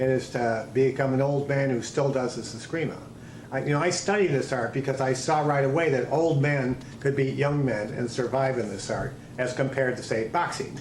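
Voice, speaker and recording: Amid noticeable background noise and audible room echo, a man at a medium pitch talks at a moderate pace with fairly even intonation. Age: 60s. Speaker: martial arts instructor. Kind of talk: interview.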